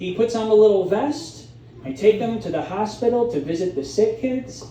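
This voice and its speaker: A man with a Midwestern accent and a high pitch talks at a moderate pace with very wide pitch swings, amid noticeable background noise and audible room echo. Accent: Midwest. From Chicago area, US Midwest. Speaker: stand-up comedian. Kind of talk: stand-up. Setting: stage with audience.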